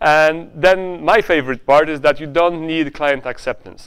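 A man with a Polish accent and a fairly high pitch speaks at a moderate pace. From Poland. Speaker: conference speaker and software founder. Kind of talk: conference talk. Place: hall. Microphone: lapel.

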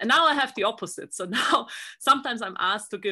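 Over a quiet background, a woman speaks fairly quickly in a bright, sharp tone with lively intonation. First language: not English. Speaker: research group leader. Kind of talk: interview. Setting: video call. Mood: friendly, smiling. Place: office. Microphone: video call.

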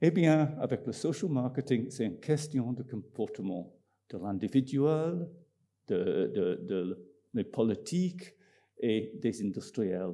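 A man with an English accent speaks at a very slow pace. His dark, mellow tone moves through very wide pitch swings. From Scotland. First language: English (speaking French). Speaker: marketing professor. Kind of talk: conference talk. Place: hall. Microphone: podium.

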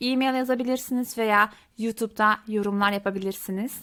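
A woman speaks at a fairly high pitch and a moderate pace. Her intonation is monotone and flat, in a very clean recording with a silent background. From Belgium (Genk, Limburg), Turkish family. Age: 30s. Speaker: Dutch language teacher, YouTuber. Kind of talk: casual self-introduction to viewers.

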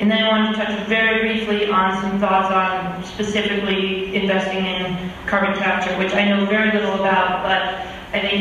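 Over light background noise and strong room echo, a woman speaks at a moderate pace with monotone, flat intonation. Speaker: conference panelist. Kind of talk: panel talk. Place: hall. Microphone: camera far.

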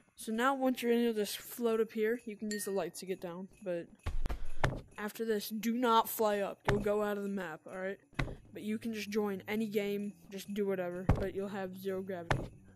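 A woman speaks at a moderate pace with fairly even intonation, in a dry sound with no echo and noticeable background noise. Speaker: gamer. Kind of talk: casual gaming tutorial commentary. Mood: startled, playful.

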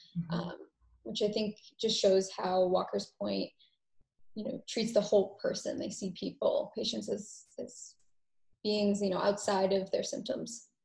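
Over a quiet background, a woman with an American accent talks at a fairly slow pace. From Massachusetts. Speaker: medical assistant; panelist. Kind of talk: panel discussion. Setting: video call. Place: home room. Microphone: video call.

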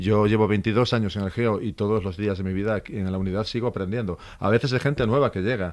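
The speech comes very fast, with hardly any pauses. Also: man, fairly low pitch for a man, fairly even intonation. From Asturias, Spain. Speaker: police inspector and elite unit instructor; elite unit instructor. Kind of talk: radio interview. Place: studio. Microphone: studio mic.

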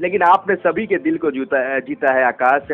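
A man talks at a moderate pace. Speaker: radio host. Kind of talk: radio interview hosting. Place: studio.

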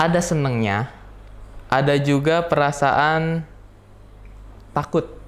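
A man's very slow speech with fairly even intonation and long, frequent pauses. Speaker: student teacher; interview guest, student teacher. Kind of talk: interview. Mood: amused, storytelling with imitations. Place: studio.

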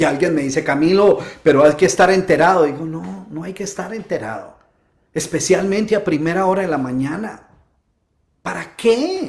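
Over a quiet background, a man with a high pitch talks at a moderate pace in an animated tone, with ordinary pitch variation and big swings in loudness. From Colombia, Bogotá. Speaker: motivational speaker. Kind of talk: live-stream talk. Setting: home. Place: home room.

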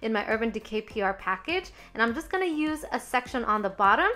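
With music in the background, a woman speaks in an upbeat tone at a high pitch, with lively intonation and a fairly quick pace. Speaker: beauty YouTuber. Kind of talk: makeup tutorial voiceover. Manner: casual, upbeat.

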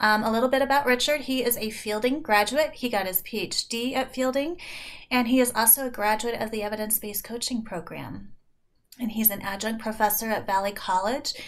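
Fairly quick speech from a woman, her pitch varying in an ordinary way. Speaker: program director hosting webinar. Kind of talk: speaker introduction. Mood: warm, welcoming. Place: home room. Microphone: webcam.

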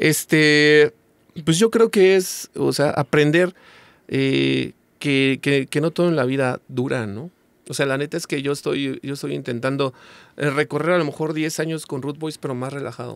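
At a fairly slow pace, a man with a fairly high pitch talks with ordinary pitch variation in a dry sound with no echo. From Mexico. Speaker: ska singer and songwriter; guest. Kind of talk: casual chat. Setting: studio. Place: studio. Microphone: studio mic.

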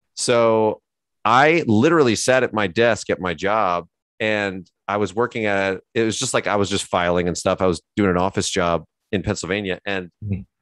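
Against a quiet background, a man at a fairly low pitch talks at a moderate pace with ordinary pitch variation, the sound dry with no echo. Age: 40s. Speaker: painter and art instructor; artist instructor. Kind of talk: casual chat during live painting demo. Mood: animated, slightly indignant. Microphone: headset.

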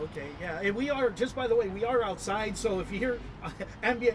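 A man talks at a moderate pace with ordinary pitch variation. Noticeable background noise runs behind him. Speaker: internet show host. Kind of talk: casual interview. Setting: outdoors at a restaurant. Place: garden.

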